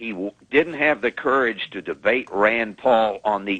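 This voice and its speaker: A man with a normal speaking voice talks at a fairly slow pace and fairly low pitch, with ordinary pitch variation. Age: 60s. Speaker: caller. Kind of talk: call-in to radio show.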